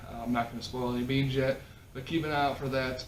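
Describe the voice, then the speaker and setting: Audible room echo and noticeable background noise surround a man with a Minnesota accent who speaks with fairly even intonation. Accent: Midwest, Minnesota-like. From South Dakota, near Minnesota border. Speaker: podcast host. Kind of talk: casual chat.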